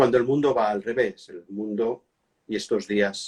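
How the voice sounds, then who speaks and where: Recorded with a dry, close sound and no echo, a man talks at a fairly slow pace. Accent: Catalan. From Catalonia, Spain. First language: Catalan (speaking Spanish). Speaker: monarchy and history expert. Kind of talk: interview. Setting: Instagram live video call. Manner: hesitant, with fillers.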